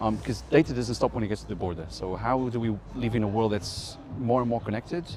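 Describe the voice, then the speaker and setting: At a very fast pace, a man speaks with a fairly low pitch and ordinary pitch variation. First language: not English. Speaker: tech news interviewer. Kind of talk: interview. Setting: conference.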